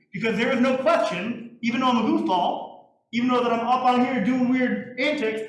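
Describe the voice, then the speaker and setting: A man's extremely high voice at a very fast pace, with very even loudness and audible room echo. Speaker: music teacher. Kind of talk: lecture. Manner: animated.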